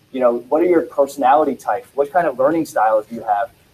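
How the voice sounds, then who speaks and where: Speaking at a very fast pace, a man uses a fairly high pitch with ordinary variation in it. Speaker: school district presenter. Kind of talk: presentation at public meeting.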